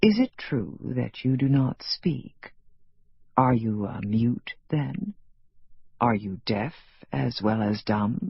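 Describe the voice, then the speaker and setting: A man uses a put-on character voice at medium pitch with lively intonation. He talks at a very slow pace with long, frequent pauses. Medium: read story. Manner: formal, precise.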